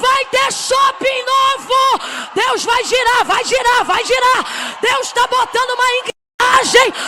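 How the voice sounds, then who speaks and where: A woman shouting at an extremely high pitch, over noticeable background noise. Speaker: preacher. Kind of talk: sermon. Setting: church pulpit. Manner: slow; emphatic, repetitive.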